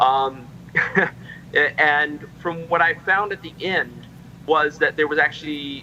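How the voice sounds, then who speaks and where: A man with a fairly high voice speaks very slowly over noticeable background noise. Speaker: member of a heritage group. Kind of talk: casual chat. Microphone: too quiet at first.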